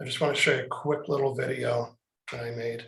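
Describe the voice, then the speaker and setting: Somewhat breathy and monotone, a man talks at a fairly quick pace with flat intonation. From Canada. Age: 60s. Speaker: author and trainer. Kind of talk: casual chat.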